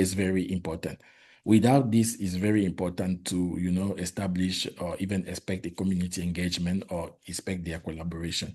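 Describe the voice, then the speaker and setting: A man speaks with a French accent in a very deep, low pitch. His tone is dark and mellow, with fairly even intonation. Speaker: public health worker, Ebola responder. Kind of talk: presentation. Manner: halting.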